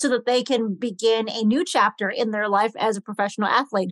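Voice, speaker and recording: A woman speaks at a moderate pace in an energetic, upbeat tone. Her pitch variation is ordinary. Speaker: podcast host and branding consultant. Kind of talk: interview intro and conversation.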